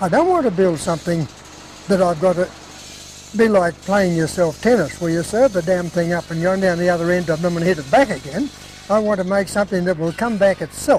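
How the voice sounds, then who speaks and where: With an Australian accent, a man speaks at a fairly quick pace in a high pitch with ordinary variation. The sound is dry with no echo, over light background noise. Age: 70s. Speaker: sawmill owner. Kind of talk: interview answer.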